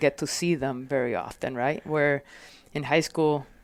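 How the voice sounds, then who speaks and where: In a very clean recording with a silent background, a woman speaks with a slight Puerto Rican accent. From Puerto Rico. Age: 40s. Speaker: fire captain. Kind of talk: casual interview. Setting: podcast. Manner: halting, many fillers.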